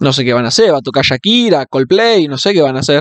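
Speaking in a Rioplatense accent, a man talks at a fairly quick pace in an animated tone. The background is quiet and the sound is dry, with no echo. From Argentina. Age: 20s. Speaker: football fan vlogger. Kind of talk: casual monologue. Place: home room. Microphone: studio mic.

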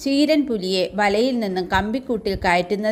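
The recording holds an unforced reading voice. The words are read out loud.

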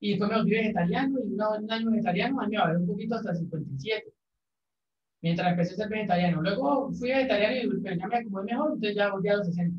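Light background noise and audible room echo fill the recording. A man speaks at a very fast pace. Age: 20s. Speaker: math teacher. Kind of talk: casual chat; lecture. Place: classroom. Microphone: camera far.

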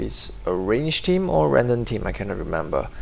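A man of medium pitch speaks at a moderate pace with very wide pitch swings amid noticeable background noise. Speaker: gaming commentator. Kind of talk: game commentary, casual play-by-play. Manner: enthusiastic, casual.

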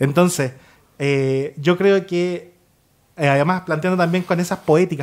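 A man with a high voice speaks fairly slowly, his pitch moving in an ordinary way. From Chile. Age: 20s. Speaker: writer; guest. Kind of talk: panel discussion. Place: studio. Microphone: studio mic.

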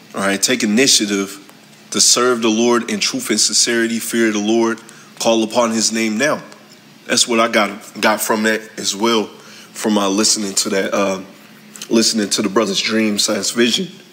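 The speech comes at a moderate pace in a monotone, flat delivery, with noticeable background noise behind it. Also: man, medium pitch for a man. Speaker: religious community member. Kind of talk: testimony. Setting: recorded video clip. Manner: halting.

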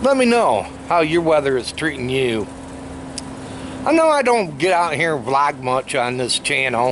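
Noticeable background noise around a man's dry, echo-free voice. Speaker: vlogger. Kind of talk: casual vlog chat. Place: garden. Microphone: phone near.

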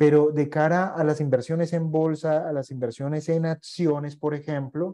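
Against a quiet background, a man with a fairly high pitch and a dark, mellow tone talks at a moderate pace. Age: 40s. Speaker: investment educator. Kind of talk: online masterclass lecture; lecture. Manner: hesitant, frequent fillers. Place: home room.

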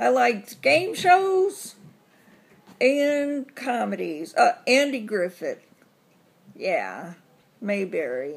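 With a Southern US accent, a woman talks very slowly, leaving long, frequent pauses. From US South. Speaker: vlogger. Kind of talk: casual vlog tag answering questions. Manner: chatty with many fillers.

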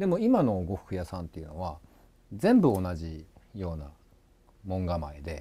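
A man's very deep, low voice, dark and mellow in tone and somewhat breathy, at a moderate pace with ordinary pitch variation, big swings in loudness and long, frequent pauses. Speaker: stream director and co-host. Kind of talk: casual live stream talk. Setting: live stream.

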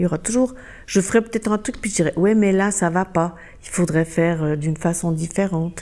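A woman's dark, mellow voice, fairly low in pitch, at a fairly quick pace with ordinary pitch variation. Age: 60s. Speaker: interviewee. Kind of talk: interview.

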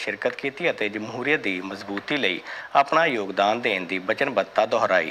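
Lively intonation comes from a man speaking over noticeable background noise. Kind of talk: formal Punjabi TV newsreading, brisk scripted bulletin. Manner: formal; steady, even, measured.

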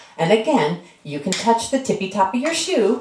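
Very wide pitch swings from a woman, with noticeable noise in the background. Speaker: dance instructor. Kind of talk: tutorial. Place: home room. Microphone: camera far.

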